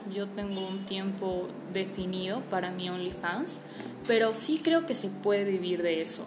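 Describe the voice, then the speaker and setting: A woman talks at a fairly slow pace and a medium pitch, with ordinary pitch variation. Audible room echo and noticeable background noise surround her. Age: 20s. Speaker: online adult content creator. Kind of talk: interview.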